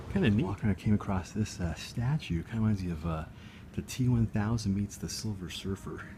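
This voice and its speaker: The voice is very fast, somewhat breathy and dark and mellow in tone, with ordinary pitch variation. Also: man, fairly low pitch for a man. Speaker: video blogger. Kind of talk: casual vlog walkthrough. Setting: library. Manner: whispering.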